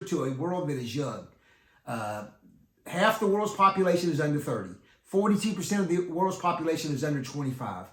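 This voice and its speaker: An American man speaks at a fairly quick pace with lively intonation and a fairly high pitch. Audible room echo surrounds his voice. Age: 60s. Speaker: youth ministry teacher and author. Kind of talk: talk to youth ministry leaders. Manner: halting.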